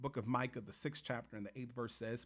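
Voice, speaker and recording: A man's animated tone with ordinary pitch variation. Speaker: faith and social commentary YouTuber. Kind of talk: video commentary to camera. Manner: animated, repetitive emphasis.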